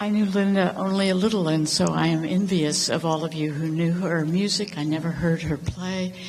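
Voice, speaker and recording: A woman with an American accent speaks at a fairly low pitch and a moderate pace, with hardly any pauses, fairly even intonation and very even loudness. Noticeable background noise and audible room echo are present. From North Carolina. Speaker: congregation member. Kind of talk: memorial tribute. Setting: church memorial service.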